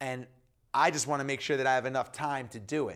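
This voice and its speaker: A man speaks with an American accent. The recording is very clean, with a silent background. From US Northeast, New York. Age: 40s. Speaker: entrepreneur and author. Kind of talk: casual interview chat.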